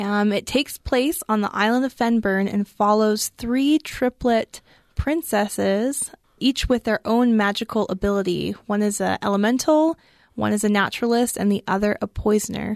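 A woman's plain, everyday voice, fairly high in pitch with ordinary pitch variation and very even loudness, at a moderate pace, with a dry, close sound with no echo and a quiet background. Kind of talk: book discussion chat. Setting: studio.

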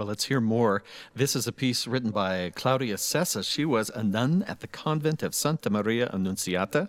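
Here a man talks at a moderate pace and a medium pitch, with lively intonation. The recording is very clean, with a silent background. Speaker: radio host. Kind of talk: radio interview in studio. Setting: studio. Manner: animated, friendly, joking.

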